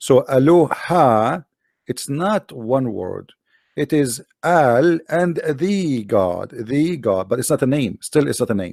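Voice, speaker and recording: In an Arabic accent, a man speaks at a very slow pace with a fairly high pitch and lively intonation, on a very clean recording with a silent background and a dry, close sound with no echo. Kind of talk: explanatory lecture. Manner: halting, with fillers and repetitions.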